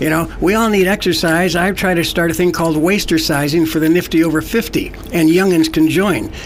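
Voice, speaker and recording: A man's high-pitched voice at a fairly quick pace with hardly any pauses, plus audible room echo and noticeable background noise. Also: fairly even intonation, very even loudness. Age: 70s. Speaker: environmental activist. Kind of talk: radio interview. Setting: studio.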